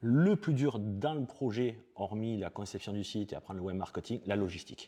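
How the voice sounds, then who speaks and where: Against a quiet background, a man speaks with a dark, mellow tone, medium pitch and lively intonation. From southern France, Perpignan. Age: 40s. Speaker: e-commerce expert. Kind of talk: interview.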